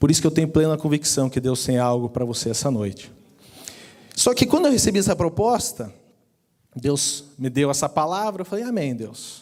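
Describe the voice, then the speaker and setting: A man with a Curitiba accent speaks at a moderate pace in a fairly high voice. His pitch swings very widely, and he takes long, frequent pauses. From Brazil, Curitiba. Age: 30s. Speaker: personal finance speaker. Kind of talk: sermon-style talk. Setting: church.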